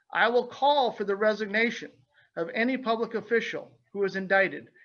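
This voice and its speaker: With a Midwestern American accent, a man talks at a fairly quick pace in a bright, sharp tone. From Illinois. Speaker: state representative candidate, small business owner. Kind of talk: opening statement at candidate forum. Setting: virtual webinar forum.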